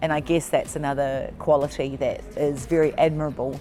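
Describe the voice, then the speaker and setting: With music in the background, a woman speaks in a New Zealand accent at a fairly quick pace, her pitch very deep and low and her intonation monotone and flat. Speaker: netball coach and consultant. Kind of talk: interview.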